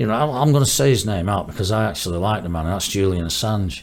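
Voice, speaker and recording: The speaker uses lively intonation in a Manchester accent. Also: man. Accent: Greater Manchester English. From northern England, Stockport. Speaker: musician. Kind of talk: casual chat.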